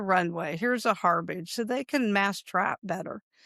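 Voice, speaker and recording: In a plain, everyday voice, a woman speaks at a medium pitch with ordinary pitch variation, the sound dry and close with no echo on a very clean recording with a silent background. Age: 60s. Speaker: pest control business owner and dog trainer. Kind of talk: interview. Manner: casual, conversational.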